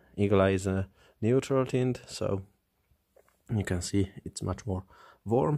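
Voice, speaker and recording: The speaker has a non-native accent and a very slow pace. Pitch variation is ordinary. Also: man. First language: not English. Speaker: flashlight reviewer. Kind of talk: product review.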